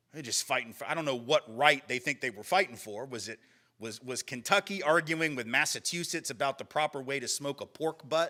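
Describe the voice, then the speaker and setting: A man with a Southern US accent speaks at a fairly quick pace and fairly high pitch in a bright, sharp, animated tone, with ordinary pitch variation and big swings in loudness, on a very clean recording with a silent background. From US South. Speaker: lecturer. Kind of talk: lecture.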